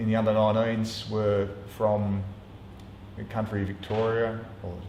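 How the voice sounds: A man speaks at a fairly slow pace in a fairly low, dark, mellow voice. His intonation is monotone and flat, and the room echo is audible.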